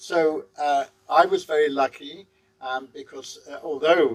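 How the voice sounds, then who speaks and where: The speaker is a man. He talks with a London accent. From England, London. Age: 70s. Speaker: guest house owner. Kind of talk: interview.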